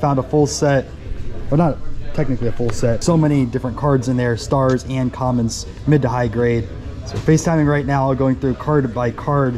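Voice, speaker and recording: At a moderate pace and with fairly even intonation, a man speaks over light background noise. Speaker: card collector vlogger. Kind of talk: casual vlog chat. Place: hall. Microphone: phone near.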